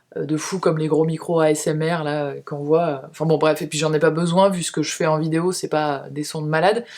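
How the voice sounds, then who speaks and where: Over noticeable background noise, a woman talks at a fairly quick pace with a very deep, low pitch, a monotone, flat intonation and hardly any pauses. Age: 30s. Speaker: beauty and lifestyle youtuber. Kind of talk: casual monthly favourites vlog. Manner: fast. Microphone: cheap camera-mounted mic with noise reduction.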